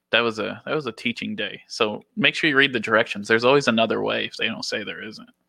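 Barely pausing, a man talks at a very fast pace. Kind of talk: casual chat.

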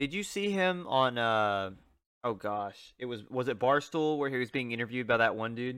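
An animated, upbeat tone with lively intonation moves along at a moderate pace. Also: man, medium pitch for a man. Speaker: podcast co-host.

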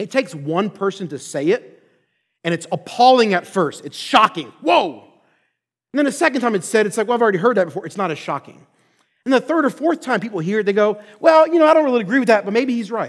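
Talking at a very fast clip in an American accent, a man with a high voice swings his pitch very widely on a very clean recording with a silent background. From Philadelphia, Pennsylvania. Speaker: pastor and seminary professor. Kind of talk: sermon-style lecture.

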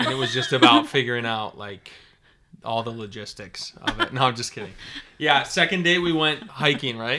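Speaking with a Minnesota accent, a man uses a medium pitch and bright, sharp tone at a moderate pace, with lively intonation and big swings in loudness, in a very clean recording with a silent background. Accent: Upper Midwest (Minnesota) American. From northern Minnesota. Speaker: podcast guest, host's husband. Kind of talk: casual chat.

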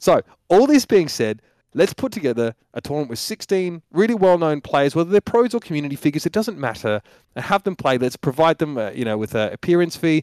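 In a very clean recording with a silent background and a dry, close sound with no echo, a man with an Australian accent talks at a very fast pace in a fairly high pitch, with very wide pitch swings. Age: 30s. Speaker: esports caster. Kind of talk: casual chat.

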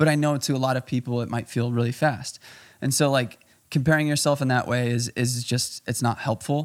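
A man with an American accent talks at a fairly quick pace in an ordinary speaking voice, his medium pitch held in fairly even intonation on a very clean recording with a silent background. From Chicago, US Midwest. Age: 20s. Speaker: photographer, filmmaker and amateur runner. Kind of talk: casual podcast interview.

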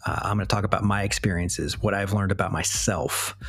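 A man speaks in a fairly low voice while music plays in the background. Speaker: podcast host. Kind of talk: solo monologue. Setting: recording at night. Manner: halting, many fillers.

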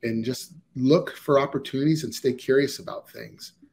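A man with an American accent and a fairly high pitch speaks somewhat breathily at a moderate pace, with ordinary pitch variation. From Ohio, US. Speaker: organizational psychologist. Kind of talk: interview. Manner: hesitant, many fillers.

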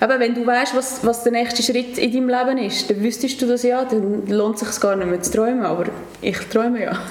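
Fairly even intonation amid noticeable background noise and audible room echo. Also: woman. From Switzerland, Nidwalden (Stans). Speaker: hotel activities manager. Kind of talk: casual interview. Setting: office.

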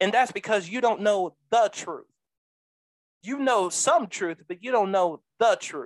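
The speech comes at a fairly slow pace with a dry, close sound and no echo. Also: woman, fairly high pitch for a woman, lively intonation. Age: 20s. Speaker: preacher and podcast host. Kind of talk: sermon-style podcast monologue. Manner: animated.

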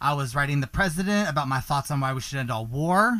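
A man speaks at medium pitch in an animated, bright, sharp tone with ordinary pitch variation. The recording is very clean, with a silent background. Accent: American. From US South. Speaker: podcast host. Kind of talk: scripted podcast intro and casual show monologue. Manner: animated, campy, excitable.

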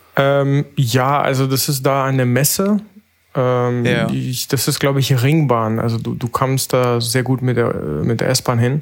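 At a fairly slow pace, a man with an unremarkable speaking voice and a medium pitch speaks with fairly even intonation. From Berlin. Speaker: analog photographer. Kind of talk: casual chat.

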